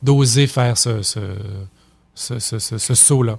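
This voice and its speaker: A man with a Quebec accent speaks at a medium pitch, somewhat breathy, in a very clean recording with a silent background. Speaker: puppeteer, theatre company director. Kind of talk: radio interview answer. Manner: hesitant, many filler words.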